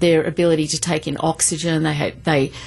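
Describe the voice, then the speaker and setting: A woman with a fairly low pitch and an Australian accent. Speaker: professor. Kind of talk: studio interview. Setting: studio.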